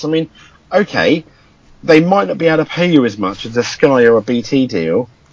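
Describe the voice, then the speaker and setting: Speaking at a fairly quick pace, a man talks with a fairly high pitch. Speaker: podcast co-host. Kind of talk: casual chat.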